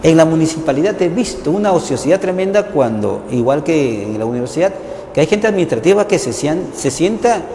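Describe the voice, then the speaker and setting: With noticeable background noise, a man speaks at a fairly quick pace with a high pitch and lively intonation. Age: 60s. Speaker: journalist and university teacher. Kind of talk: TV interview conversation. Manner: animated.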